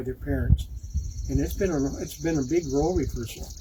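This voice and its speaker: Moderate pace over noticeable background noise. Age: 70s. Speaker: grandparent sharing a church message. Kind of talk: reading aloud; casual reflection.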